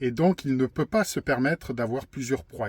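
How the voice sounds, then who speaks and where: The sound is dry and close, with no echo. A man at medium pitch speaks with lively intonation. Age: 50s. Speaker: YouTuber sharing personal testimony. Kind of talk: personal testimony monologue. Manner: halting, frequent hesitations and repetitions.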